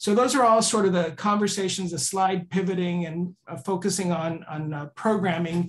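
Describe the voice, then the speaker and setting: Hardly pausing, a man talks at a high pitch with ordinary pitch variation. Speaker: executive director of a journalists' association. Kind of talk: board meeting report. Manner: fast; hesitant, many fillers.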